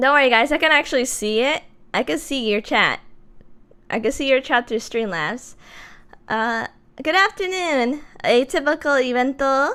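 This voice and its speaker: Raised and projected, the voice has a bright, sharp tone and lively intonation at a moderate pace, on a very clean recording with a silent background. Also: woman. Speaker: vtuber streamer. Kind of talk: casual chat.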